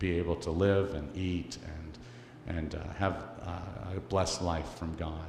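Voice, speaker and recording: A man with a Canadian accent speaks very slowly at a very deep, low pitch, with vocal fry. His pitch varies in an ordinary way, and audible room echo is present. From Canada. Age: 60s. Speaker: missionary speaker for orphan charity. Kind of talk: church presentation. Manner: halting, many fillers.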